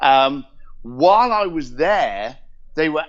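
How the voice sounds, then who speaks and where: Here a man speaks in a London accent. His pitch is fairly high and his intonation lively. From southern England, Reading and East London. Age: 50s. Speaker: entrepreneur. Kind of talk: interview storytelling. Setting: call.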